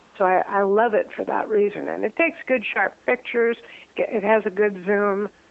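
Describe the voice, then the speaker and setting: Against noticeable background noise, a woman speaks at a moderate pace with medium pitch and ordinary pitch variation. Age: 60s. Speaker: retired senior traveler and amateur photographer. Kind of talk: casual interview. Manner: hesitant, many fillers.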